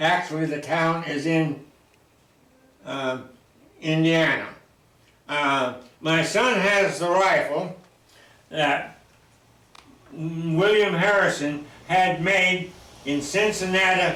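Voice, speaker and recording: A man with a high pitch and an American accent talks at a very slow pace with long, frequent pauses. Audible room echo surrounds his voice. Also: ordinary pitch variation. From Oregon. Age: 90s. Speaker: local elder. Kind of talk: oral history interview. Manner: halting.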